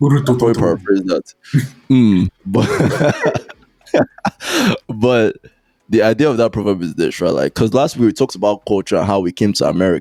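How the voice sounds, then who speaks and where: In a strong Nigerian accent, a man at medium pitch talks at a moderate pace with lively intonation and long, frequent pauses, the sound dry and close with no echo. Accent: Nigerian, thick. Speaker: podcast co-host. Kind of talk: casual chat. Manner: animated.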